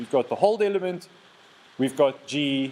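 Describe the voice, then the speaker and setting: At a moderate pace, a man talks with a fairly high pitch and lively intonation. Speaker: lecturer. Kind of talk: lecture. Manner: halting, repeats words.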